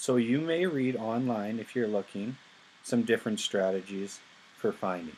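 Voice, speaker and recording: Moderate pace and ordinary pitch variation from a man with an unremarkable speaking voice at medium pitch. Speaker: high school physics teacher. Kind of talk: lecture.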